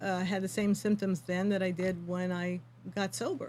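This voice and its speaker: The recording is very clean with a silent background, and a woman speaks at a moderate pace with medium pitch and a somewhat breathy sound. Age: 60s. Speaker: yoga teacher for addiction recovery. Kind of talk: interview.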